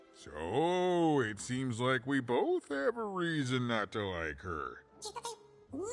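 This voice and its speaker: A man puts on a character voice at medium pitch, with very wide pitch swings. He talks at a very slow pace. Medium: video game. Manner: chatty, joking.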